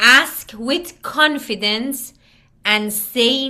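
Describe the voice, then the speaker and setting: This woman has a bright, sharp tone, a fairly high pitch and a non-native accent. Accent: foreign. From Iran. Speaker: communication skills trainer. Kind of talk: online workshop presentation. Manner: deliberately slow.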